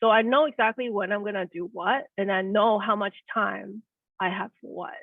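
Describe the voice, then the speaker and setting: A woman speaks at a medium pitch and a moderate pace, with fairly even intonation. Her loudness swings widely. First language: not English. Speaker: neuroscientist turned project manager. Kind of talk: career interview. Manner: halting.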